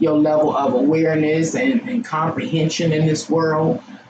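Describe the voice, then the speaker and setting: Noticeable background noise runs through the clip. The talking proceeds at a fairly slow pace. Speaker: tarot reader. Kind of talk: tarot reading.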